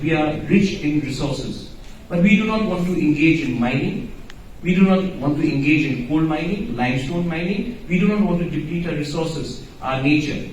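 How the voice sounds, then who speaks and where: Over noticeable background noise and audible room echo, a man speaks at a moderate pace in a fairly high pitch with ordinary pitch variation. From Northeast India. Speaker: politician. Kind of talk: panel speech. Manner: formal.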